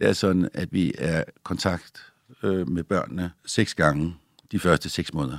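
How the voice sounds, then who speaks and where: Dry and close with no echo, a man's very deep, low voice carries vocal fry at a fairly slow pace. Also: fairly even intonation. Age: 60s. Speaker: doctor. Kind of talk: interview.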